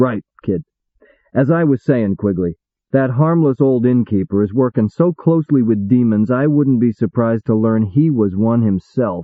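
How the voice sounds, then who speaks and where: A man puts on a gruff character voice at medium pitch with ordinary pitch variation. He keeps a moderate pace and very even loudness. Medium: read story. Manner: blunt, gruff.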